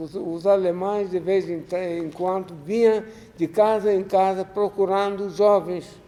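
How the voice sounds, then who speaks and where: Noticeable background noise accompanies a man with high pitch who speaks at a fairly slow pace in a monotone, flat intonation. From Ukraine. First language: Russian (speaking Portuguese). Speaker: Holocaust survivor. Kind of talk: lecture. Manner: halting.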